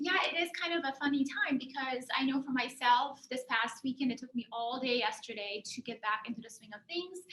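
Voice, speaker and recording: Against noticeable background noise, a woman talks at a high pitch with hardly any pauses and big swings in loudness. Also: ordinary pitch variation, fairly quick pace. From Germany. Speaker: career and life coach. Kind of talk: presentation.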